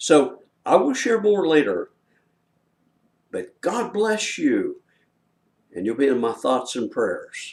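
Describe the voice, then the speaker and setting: This man talks at a very slow pace. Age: 70s. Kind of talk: promotional talk to camera. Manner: casual, with many filler words.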